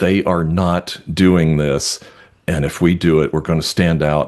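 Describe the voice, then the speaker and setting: The pace of this man's speech is fairly slow. He talks in an American accent. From New York. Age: 60s. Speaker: realtor and webinar co-host. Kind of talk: casual chat.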